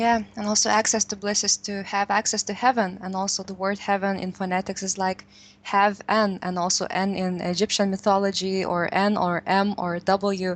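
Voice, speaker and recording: A woman with a Lithuanian accent, medium-pitched and monotone, at a moderate pace with hardly any pauses against a quiet background. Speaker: radio co-host. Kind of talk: interview.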